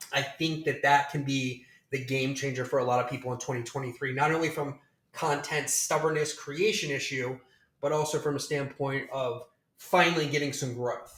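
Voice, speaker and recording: A man speaks with an American accent at a fairly high pitch. His intonation is monotone and flat. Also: moderate pace. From Virginia, US. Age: 40s. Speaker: social media marketing executive. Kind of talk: podcast interview.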